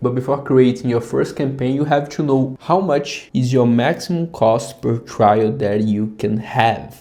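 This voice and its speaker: Speaking fairly slowly with a Brazilian accent, a man uses a medium pitch, ordinary pitch variation and a dark, mellow tone. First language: Portuguese. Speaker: app founder. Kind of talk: tutorial. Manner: casual.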